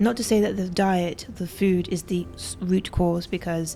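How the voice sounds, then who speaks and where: With music in the background, a woman of medium pitch speaks at a moderate pace and with fairly even intonation. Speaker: health vlogger living with a tumor. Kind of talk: personal vlog monologue. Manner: halting, stuttering.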